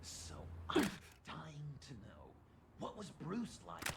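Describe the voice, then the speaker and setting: Loud background noise surrounds a man doing a put-on character voice. He goes at a fairly slow pace. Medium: video game. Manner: excitable, erratic.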